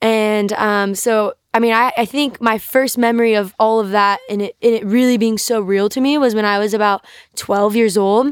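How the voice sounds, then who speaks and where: A woman speaks in an American accent at a fairly high pitch with fairly even intonation. She has a plain, everyday voice, on a very clean recording with a silent background. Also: moderate pace. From US South, North Carolina. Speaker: guest sharing faith testimony. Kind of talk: testimony.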